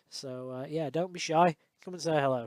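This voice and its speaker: A Yorkshire accent on a very clean recording with a silent background. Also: man. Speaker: electronics repair technician. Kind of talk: tutorial outro, direct to camera. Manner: casual, many fillers.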